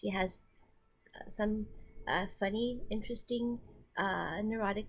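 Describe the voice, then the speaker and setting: A woman's fairly high voice with vocal fry, fairly even intonation and a fairly slow pace. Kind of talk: casual talk to camera. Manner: mumbly, repetitive.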